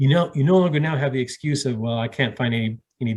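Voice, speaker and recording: A somewhat breathy man talks at a very fast pace with ordinary pitch variation. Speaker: real estate investor and trainer. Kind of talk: live online Q&A session wrap-up. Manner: animated.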